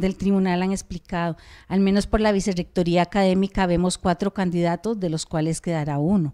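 Against a quiet background, a woman speaks at a moderate pace in a fairly low voice with a dark, mellow tone and fairly even intonation. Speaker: university academic, council candidate; council candidate. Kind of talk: campaign presentation. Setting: stage with audience. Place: meeting room. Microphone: handheld.

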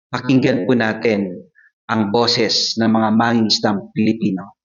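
A man talks at a moderate pace and fairly low pitch, with little pitch movement. There is audible room echo. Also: fairly bright tone.

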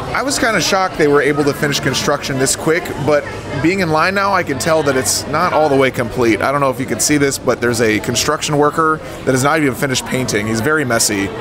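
Backed by music, a man talks fairly quickly. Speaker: theme park vlogger. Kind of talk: casual vlog chat. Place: cafe.

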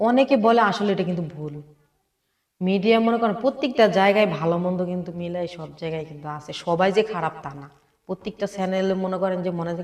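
A woman's medium-pitched voice with ordinary pitch variation and big swings in loudness. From Bangladesh, Cumilla (Laksam). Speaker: interviewee seeking marriage. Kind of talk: interview. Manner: halting.

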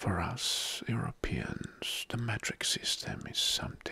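Whispering from a man, at a very slow pace. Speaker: ASMR creator. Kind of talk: soft-spoken ASMR talk on general knowledge. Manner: soft-spoken ASMR voice close to microphone. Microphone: studio mic.

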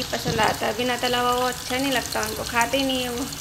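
The speech moves at a moderate pace. Noticeable background noise sits underneath it. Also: woman. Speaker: home vlogger. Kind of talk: casual vlog chat. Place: home room. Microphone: phone near.

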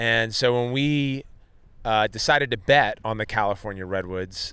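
On a very clean recording with a silent background, a man with a normal speaking voice talks fairly slowly at medium pitch with ordinary pitch variation. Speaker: lacrosse league co-founder and podcast host. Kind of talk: casual chat. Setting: live event venue.

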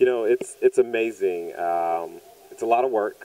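A man with an American accent, dark and mellow in tone, fairly even intonation at a fairly slow pace

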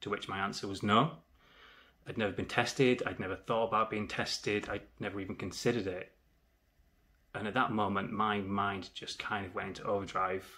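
This man has a fairly low pitch and a bright, sharp tone. He moves at a fairly quick pace with fairly even intonation. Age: 30s. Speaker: HIV awareness vlogger. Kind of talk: personal testimony. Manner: earnest, measured. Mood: serious, reflective. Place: home room. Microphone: phone near.

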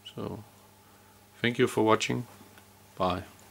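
A man with a Danish accent speaks at a fairly slow pace and fairly low pitch, light background noise behind him. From Denmark. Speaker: electrician. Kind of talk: tutorial. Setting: indoors. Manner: halting. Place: open country. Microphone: phone near.

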